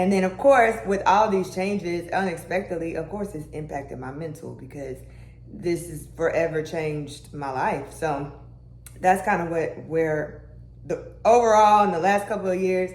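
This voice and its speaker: The woman's voice sits at a fairly low pitch, with ordinary pitch variation and a moderate pace. Her loudness swings widely, and the room echo is audible. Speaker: lifestyle and health vlogger. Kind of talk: casual vlog talk. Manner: casual, with many fillers.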